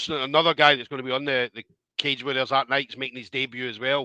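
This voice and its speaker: Against a quiet background, a man talks at a very fast pace in a bright, sharp tone, with a dry, close sound and no echo. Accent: Scottish. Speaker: combat sports interviewer. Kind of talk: interview.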